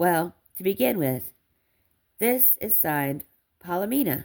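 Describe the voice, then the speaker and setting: Putting on a character voice, a woman speaks at a moderate pace in a raspy, fairly low pitch. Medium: read story. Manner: warm, animated.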